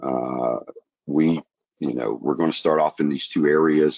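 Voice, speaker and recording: This man has a very deep, low pitch. He speaks with a Southern US accent. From US South, rural. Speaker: broadband company president. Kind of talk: webinar presentation. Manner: halting, many fillers and repeats.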